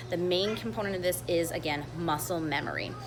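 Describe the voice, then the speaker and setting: A woman speaks with audible room echo. Noticeable background noise runs behind her. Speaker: brewery sensory panel leader. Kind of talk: tutorial. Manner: fast.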